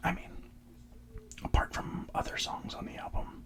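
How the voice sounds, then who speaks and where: A relaxed whisper moves at a moderate pace. Noticeable background noise sits behind it. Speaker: ASMR content creator. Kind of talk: ASMR whisper ramble about music. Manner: whispered, relaxed.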